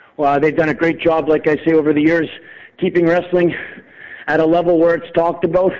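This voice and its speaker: At a fairly quick pace, a man with a high-pitched voice speaks in a passionate tone, broken by long, frequent pauses. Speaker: wrestler and promoter. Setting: phone call. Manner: passionate, rapid-fire ranting; intense, rambling, emphatic.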